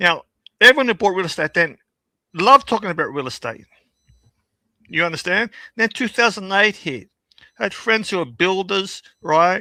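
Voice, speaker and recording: With long, frequent pauses at a moderate pace, a man speaks in a raised, projected voice that is high-pitched, bright and sharp, with an animated tone and lively intonation, in a dry, close sound with no echo on a very clean recording with a silent background. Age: 60s. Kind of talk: casual chat.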